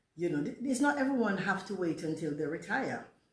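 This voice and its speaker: Amid audible room echo, a woman speaks at a moderate pace and medium pitch, her voice swinging very widely in pitch. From Jamaica. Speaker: vlogger. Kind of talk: casual storytime monologue.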